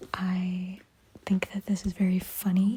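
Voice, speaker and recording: A woman speaks quietly. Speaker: book vlogger. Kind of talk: vlog diary. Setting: at home at night, voice memo. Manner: casual, filler-heavy.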